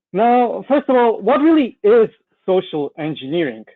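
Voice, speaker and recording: A man speaks with a Russian accent. His pitch makes very wide swings. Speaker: cybersecurity consultant presenting a webinar. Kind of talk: webinar presentation. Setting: online webinar with slides.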